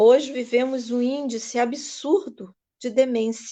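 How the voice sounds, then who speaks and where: Her fairly high pitch shows ordinary variation as this woman, whose tone is dark and mellow, speaks at a very slow pace. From Brazil, rural Araruama, Rio de Janeiro state. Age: 60s. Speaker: ayurveda and yoga teacher. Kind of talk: live stream talk. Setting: Facebook live.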